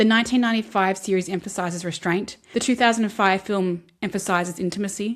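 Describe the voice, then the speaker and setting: A woman's medium-pitched voice with an Australian accent, fairly even intonation and a fairly quick pace, in a very clean recording with a silent background. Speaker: film and literature video essayist. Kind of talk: video essay commentary. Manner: conversational.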